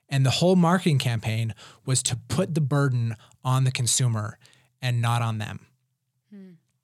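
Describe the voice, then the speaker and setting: A somewhat breathy man with an American accent, medium pitch and lively intonation, at a moderate pace with long, frequent pauses and big swings in loudness. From Utah (Provo). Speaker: podcast co-host. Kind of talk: casual chat.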